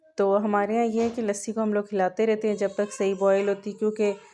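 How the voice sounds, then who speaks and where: Noticeable background noise behind a woman's medium-pitched, monotone, flat intonation. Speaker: cooking vlogger. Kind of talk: cooking narration. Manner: casual, hesitant.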